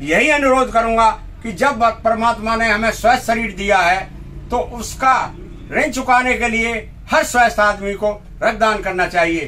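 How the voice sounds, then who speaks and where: Over noticeable background noise, a man with a high pitch uses a raised, projected voice and ordinary pitch variation. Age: 60s. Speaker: blood donor. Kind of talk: news interview.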